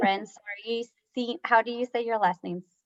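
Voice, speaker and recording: With a Spanish accent, a woman speaks at a fairly high pitch with fairly even intonation, in a dry, close sound with no echo. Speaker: talk show host. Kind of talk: interview.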